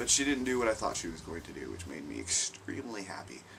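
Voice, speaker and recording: There is audible room echo and noticeable background noise as a man talks with ordinary pitch variation. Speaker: vlogger. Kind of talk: casual vlog monologue.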